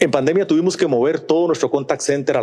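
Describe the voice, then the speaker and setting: A man's fairly high voice with vocal fry. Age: 60s. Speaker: business executive, conference speaker. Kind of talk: conference talk. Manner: talkative.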